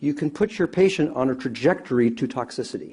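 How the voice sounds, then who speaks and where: A man with a fairly high voice, a dark, mellow tone and vocal fry speaks with very wide pitch swings. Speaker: anesthesiologist expert witness. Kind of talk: court testimony. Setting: courtroom.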